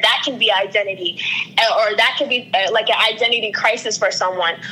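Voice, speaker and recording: A woman talks fairly fast while noticeable noise sits in the background. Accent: American. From US Northeast, Long Island, New York. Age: 20s. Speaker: brand strategist and ministry worker. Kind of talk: interview.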